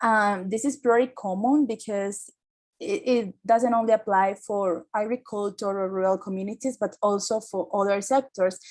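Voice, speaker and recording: The speaker has a Colombian accent and fairly even intonation. The recording is very clean, with a silent background. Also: woman, medium pitch for a woman, moderate pace. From Caribbean coast of Colombia. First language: Spanish. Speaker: climate activist. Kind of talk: seminar talk. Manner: halting, with many fillers.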